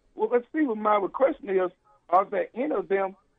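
This man has a Southern US accent and a high pitch. His pitch moves with ordinary variation. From Arkansas. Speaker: caller. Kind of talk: call-in question.

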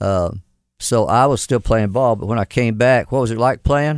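In a very clean recording with a silent background, a man with a Southern US accent speaks fairly slowly at medium pitch with fairly even intonation. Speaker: mayor. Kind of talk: casual interview. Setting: studio.

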